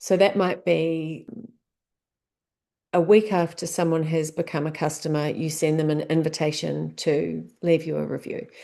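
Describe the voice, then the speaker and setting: In a New Zealand accent, a woman with a very deep, low pitch and a dark, mellow tone speaks at a moderate pace with fairly even intonation against a quiet background. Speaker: business coach. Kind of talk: tutorial. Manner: casual, conversational.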